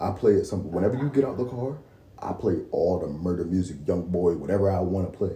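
A man's very deep, low voice, somewhat breathy with a dark, mellow tone, lively intonation and a very fast pace. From Baltimore. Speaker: Marine Corps veteran and aspiring podcaster. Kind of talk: casual chat. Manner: calm.

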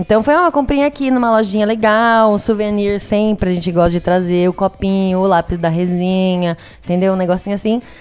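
Hardly pausing, a woman talks at a fairly quick pace and medium pitch with ordinary pitch variation and very even loudness. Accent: slight São Paulo interior. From Brazil, Piracicaba (São Paulo interior). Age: 20s. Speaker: travel podcast guest. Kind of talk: casual chat.

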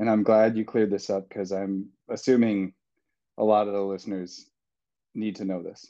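Against a quiet background, a man with an American accent speaks at a moderate pace with a fairly low pitch, a dark, mellow tone and monotone, flat intonation. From US Midwest. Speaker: graduate student, fiction author and ultrarunner. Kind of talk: casual chat.

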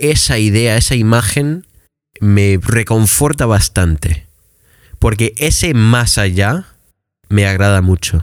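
A man's fairly low voice at a very slow pace. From Michigan, US. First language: English (speaking Spanish). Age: 20s. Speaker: English teacher. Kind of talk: casual chat.

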